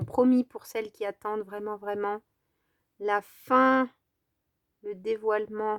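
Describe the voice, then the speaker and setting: The speech is very slow, with long, frequent pauses and fairly even intonation. Loudness swings widely. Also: woman. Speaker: crafting youtuber. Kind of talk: tutorial. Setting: at home. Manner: casual, hesitant with fillers.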